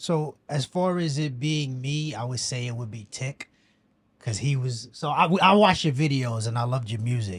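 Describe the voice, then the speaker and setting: Somewhat breathy speech at a moderate pace, with ordinary pitch variation, on a very clean recording with a silent background. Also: man, medium pitch for a man. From New York, the Bronx. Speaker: filmmaker. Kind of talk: casual chat.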